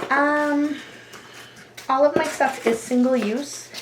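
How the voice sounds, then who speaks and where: Over noticeable background noise, a soft-spoken woman delivers her words very slowly. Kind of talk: ASMR roleplay nail consultation.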